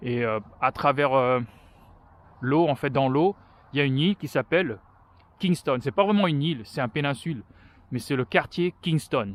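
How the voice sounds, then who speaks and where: The speech moves at a moderate pace with lively intonation and long, frequent pauses, heard in a dry, close sound with no echo. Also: man, fairly high pitch for a man. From France. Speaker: vlogger. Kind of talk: walking vlog monologue. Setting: outdoors, walking. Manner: halting, many hesitations.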